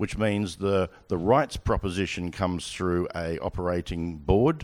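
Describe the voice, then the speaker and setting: An Australian-accented man speaks at a moderate pace in a very deep, low voice, on a very clean recording with a silent background. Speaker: sports broadcasting executive. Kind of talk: onstage interview. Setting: stage with audience.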